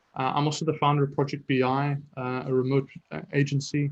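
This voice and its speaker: Somewhat breathy, a man talks at a moderate pace in a monotone, flat intonation. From South Africa. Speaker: startup founder and business intelligence consultant. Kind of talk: webinar presentation. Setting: online webinar. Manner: casual with frequent fillers.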